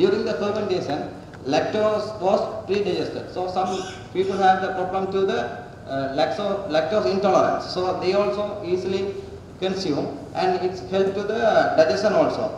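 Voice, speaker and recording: A man's high-pitched voice at a moderate pace, strong room echo, light background noise. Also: ordinary pitch variation. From Sri Lanka. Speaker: student researcher. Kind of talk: presentation. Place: hall. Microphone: podium.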